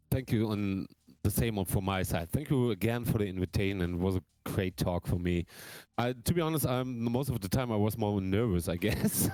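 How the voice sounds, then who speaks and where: A man with a German accent speaks at a fairly quick pace in a fairly low, dark, mellow voice, his loudness very even and his pitch variation ordinary. The recording is very clean, with a silent background. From Germany. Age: 30s. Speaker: drummer. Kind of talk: casual chat. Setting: live stream.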